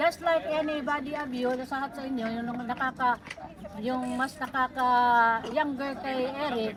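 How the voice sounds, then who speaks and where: Loud speech with ordinary pitch variation over noticeable background noise. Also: woman. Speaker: tribute speaker, surrogate mother of deceased. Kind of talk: eulogy speech.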